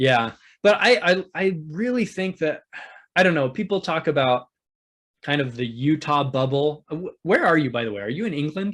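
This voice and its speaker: A man's normal speaking voice, fairly high in pitch, at a moderate pace, on a very clean recording with a silent background. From US Northwest, Oregon. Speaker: YouTube channel host, church guest. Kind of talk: interview.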